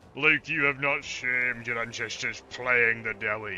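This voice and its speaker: Against clear background noise, a man at medium pitch performs a put-on character voice. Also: moderate pace. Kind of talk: archaic, heroic. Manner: gruff, hearty.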